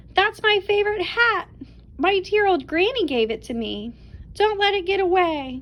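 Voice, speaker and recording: A woman bellows in a put-on character voice with an extremely high pitch at a moderate pace. Light background noise is present. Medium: read story. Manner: roaring, stern.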